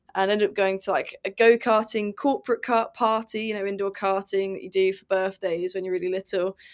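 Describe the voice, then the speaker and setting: On a very clean recording with a silent background, a woman of medium pitch speaks in a British accent with monotone, flat intonation. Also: fairly quick pace. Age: 20s. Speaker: racing driver. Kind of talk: interview.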